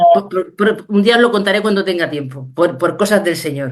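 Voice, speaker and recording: Medium in pitch, a woman talks with a Spanish accent. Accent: Peninsular Spanish. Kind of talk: Q&A answer on a video call. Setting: video call.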